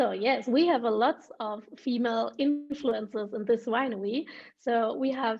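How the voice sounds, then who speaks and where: Delivered fairly slowly in a German accent, the speech has ordinary pitch variation. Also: woman. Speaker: wine ambassador and schoolteacher. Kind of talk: virtual wine tasting chat. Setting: video call. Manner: halting, searching for words.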